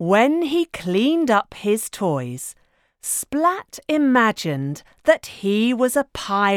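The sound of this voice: An unforced reading voice sounds over a quiet background.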